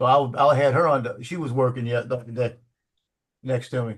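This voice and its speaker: A somewhat breathy man's voice at a medium pitch and a moderate pace. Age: 70s. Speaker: sports photographer. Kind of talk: casual chat.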